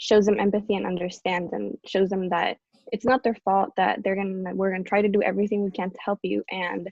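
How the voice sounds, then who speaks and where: A woman speaks at a fairly quick pace with a medium pitch and monotone, flat intonation. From Costa Rica. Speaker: college student volunteer. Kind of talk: panel discussion.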